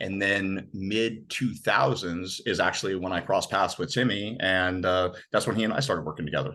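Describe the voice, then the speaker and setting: The loud, bright, sharp voice keeps a moderate pace with ordinary pitch variation and hardly any pauses. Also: man, fairly low pitch for a man. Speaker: former navy seal, nutrition and habits coach. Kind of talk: podcast interview.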